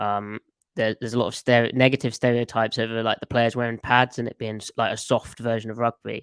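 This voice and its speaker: Recorded dry and close with no echo against a very clean, silent background, a man with an English accent speaks very fast at medium pitch. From England, near London. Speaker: football analyst and amateur coach. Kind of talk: podcast interview.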